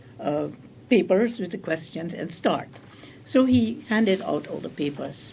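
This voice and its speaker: Her voice fairly low, dark and mellow with vocal fry, a woman speaks at a fairly slow pace with lively intonation. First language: not English. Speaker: spiritual teacher. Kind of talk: radio interview. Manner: halting.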